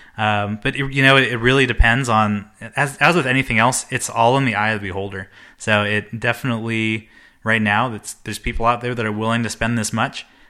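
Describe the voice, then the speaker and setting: Over a silent background in a very clean recording, a man speaks at a fairly quick pace with medium pitch. His tone is bright and sharp, his intonation fairly even. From Hawaii. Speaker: podcast guest, whiskey enthusiast. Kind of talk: casual chat.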